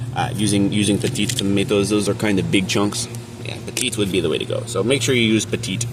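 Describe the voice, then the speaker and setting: A man talks at a very fast pace with a fairly low pitch and fairly even intonation. Noticeable background noise and audible room echo fill the recording. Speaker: home cooking vlogger. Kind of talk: casual cooking tutorial. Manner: casual, joking.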